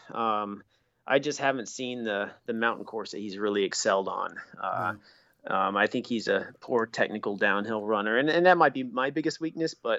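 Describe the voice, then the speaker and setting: At a moderate pace and with ordinary pitch variation, this is a plain, everyday voice. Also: man, medium pitch for a man. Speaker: elite obstacle course race athlete. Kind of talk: casual chat.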